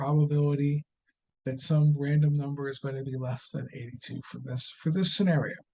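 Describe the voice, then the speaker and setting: Somewhat breathy, with a dark, mellow tone, a man speaks at a fairly high pitch and a moderate pace in a monotone, flat way. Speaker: statistics instructor. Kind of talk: tutorial. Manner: halting.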